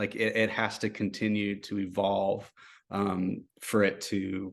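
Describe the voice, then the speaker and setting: This man has a fairly low voice and speaks at a fairly slow pace. His intonation is monotone and flat, and the background is quiet. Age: 30s. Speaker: roots music singer. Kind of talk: interview. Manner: halting, many fillers.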